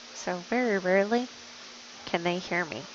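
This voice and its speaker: A soft-spoken woman at a medium pitch, very slow pace and ordinary pitch variation, with noticeable background noise. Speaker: pool match commentator. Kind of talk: live commentary.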